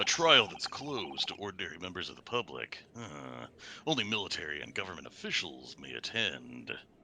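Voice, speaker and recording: In a put-on character voice, a man speaks with a very deep, low pitch and very wide pitch swings. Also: fairly quick pace, big swings in loudness. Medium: game stream. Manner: assured.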